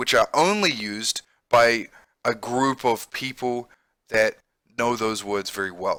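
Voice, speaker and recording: This man has a New Zealand accent and a medium pitch. His tone is bright and sharp, and the sound is dry and close with no echo. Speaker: English teacher and gamer. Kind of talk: let's play with vocabulary lesson. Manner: casual and explanatory.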